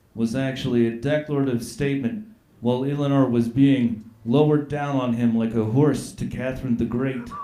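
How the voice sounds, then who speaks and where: Noticeable background noise and audible room echo surround a man speaking at a moderate pace. His pitch is medium and his intonation fairly even. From Nova Scotia, Canada. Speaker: comedian. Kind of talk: comedy roast. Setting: stage with audience.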